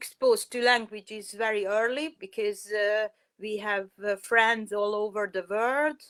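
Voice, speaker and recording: Fairly high-pitched, a woman speaks with a Hungarian accent at a fairly slow pace, keeping her intonation fairly even. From Hungary. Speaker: parent. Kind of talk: interview. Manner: halting, many fillers.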